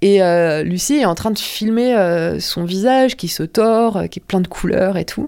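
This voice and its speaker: Her tone dark and mellow, a woman speaks at a fairly slow pace with ordinary pitch variation in a very clean recording with a silent background. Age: 30s. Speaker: adult film performer. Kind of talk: personal testimony. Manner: hesitant, many fillers.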